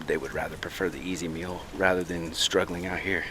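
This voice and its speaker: A man with a very deep, low pitch talks amid noticeable background noise. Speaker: wildlife vlogger. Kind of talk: outdoor vlog narration. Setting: outdoors on a trail. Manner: soft-spoken.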